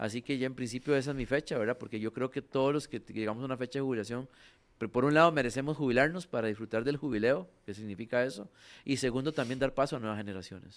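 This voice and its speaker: A man at medium pitch, very fast pace and ordinary pitch variation, on a very clean recording with a silent background. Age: 60s. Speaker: utility company general manager. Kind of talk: radio interview.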